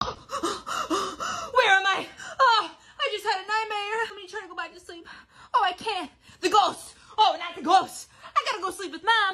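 A woman uses a raised, projected voice with a bright, sharp tone and big swings in loudness. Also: lively intonation, moderate pace. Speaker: comedy skit creator. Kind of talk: acted comedy skit dialogue. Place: home room. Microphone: phone near.

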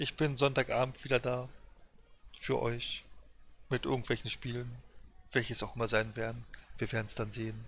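A man talks at a moderate pace in a medium pitch, with monotone, flat intonation and vocal fry. Long, frequent pauses break up his speech. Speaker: streamer. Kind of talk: casual chat. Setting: live stream, gaming. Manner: chatty, rambling.

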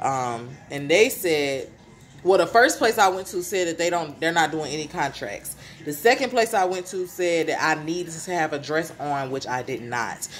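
Light background noise sits behind a woman with a fairly low pitch. She talks at a moderate pace with lively intonation. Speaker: vlogger. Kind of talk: casual vlog chat. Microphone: phone near.

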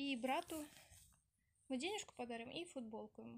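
A woman's high, nasal voice with a slightly husky edge, at a fairly quick pace.

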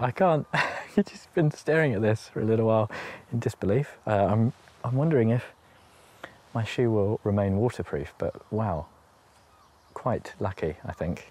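A man with a fairly low pitch speaks at a moderate pace in a dark, mellow tone, his intonation lively.

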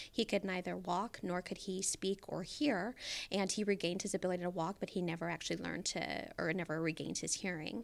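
Speaking at a very fast pace, a woman uses fairly even intonation with vocal fry. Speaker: podcast guest. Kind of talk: interview answer. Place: studio. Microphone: studio mic.

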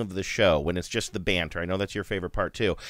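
A man speaks with vocal fry. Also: very clean recording, silent background. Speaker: podcast co-host and producer. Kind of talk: casual chat.

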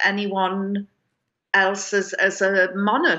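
Over a quiet background, a woman speaks with a bright, sharp tone. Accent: British. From UK. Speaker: journalist and political analyst; journalist, political analyst. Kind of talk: news interview. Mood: somber, measured. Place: home room. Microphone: video call.

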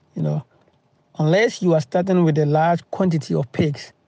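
His voice has a dark, mellow tone at a fairly high pitch. The man's recording is dry with no echo. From Ghana. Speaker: farm vlogger; farm owner vlogger. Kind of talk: tutorial. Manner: halting, many fillers. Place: farm machine. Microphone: phone near.

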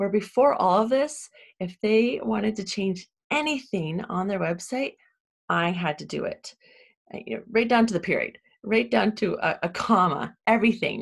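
Against a quiet background, a woman talks at a moderate pace with lively intonation and vocal fry. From Ontario, Canada. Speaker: web design business owner. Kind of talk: tutorial. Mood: enthusiastic, friendly. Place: home room.

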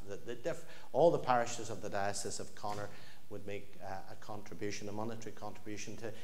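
A man speaks at a moderate pace. His pitch is fairly low and his intonation fairly even. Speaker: parish minister. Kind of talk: church announcements. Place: church.

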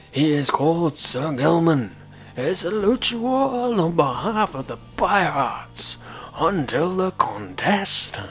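Clear background noise sits under a put-on character voice that moves at a fairly slow pace. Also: man, high pitch for a man. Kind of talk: mock-chivalric speech. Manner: grandiose, earnest, courtly.

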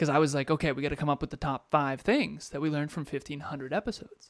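Against a quiet background, a man talks fairly quickly at a fairly high pitch with monotone, flat intonation. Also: dry sound with no echo. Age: 30s. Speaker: podcast co-host and coach. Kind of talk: casual chat. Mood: reflective, earnest. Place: office. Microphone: studio mic.

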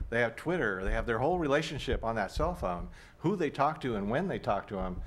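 This man speaks with an American accent and vocal fry. His pitch swings very widely. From Oakland, California; California. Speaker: local party official; panelist on political commentary show. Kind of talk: panel discussion; political commentary discussion. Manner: halting with repetitions. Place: studio.

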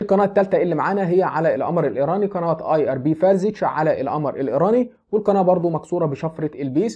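Against a quiet background, a man with an Egyptian accent speaks in a high pitch with a dark, mellow tone. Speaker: YouTube tech channel host; satellite TV tech youtuber. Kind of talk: tutorial. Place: home room.

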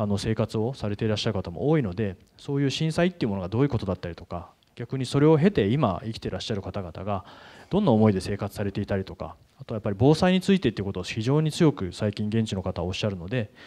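A man talks at a very fast pace with lively intonation and a fairly low pitch. His tone is dark and mellow, and the background is quiet. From Tokyo, Japan. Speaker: nonprofit director; speaker. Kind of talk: conference talk. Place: hall. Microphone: handheld.

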